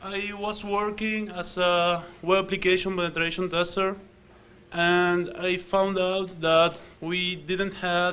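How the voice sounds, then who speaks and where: A man's high, monotone voice with flat intonation, at a very slow pace, in an Argentine accent. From Argentina. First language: Spanish. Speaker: software developer and security researcher. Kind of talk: conference talk. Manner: hesitant, many fillers.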